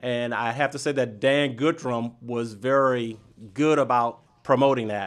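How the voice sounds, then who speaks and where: A man talks in a plain, everyday voice at a medium pitch with an American accent. His intonation stays fairly even. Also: fairly slow pace. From US South, Miami, Florida. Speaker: business organization president, banker. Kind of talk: radio interview. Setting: radio studio.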